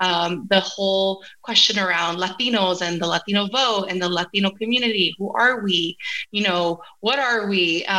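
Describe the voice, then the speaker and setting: A woman's bright, sharp tone at a moderate pace, with ordinary pitch variation. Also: medium pitch for a woman. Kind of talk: academic talk.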